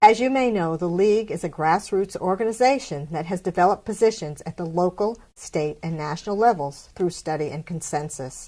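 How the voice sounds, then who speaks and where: In a very clean recording with a silent background, a woman speaks at a fairly quick pace with hardly any pauses, her medium pitch and dark, mellow tone shaped by lively intonation and big swings in loudness. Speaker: president of a local League of Women Voters chapter, show host. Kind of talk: television host introduction and interview questions.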